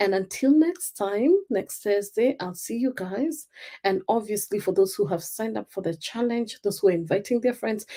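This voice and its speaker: A woman speaks at a medium pitch with a dark, mellow tone and ordinary pitch variation. She has a Kenyan accent and keeps a moderate pace. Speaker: life coach. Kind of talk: live stream talk. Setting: live stream.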